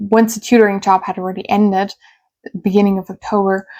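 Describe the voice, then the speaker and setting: In a German accent, a woman speaks at medium pitch with a dry, close sound and no echo. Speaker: YouTuber and English tutor. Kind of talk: personal storytelling vlog. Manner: casual with fillers.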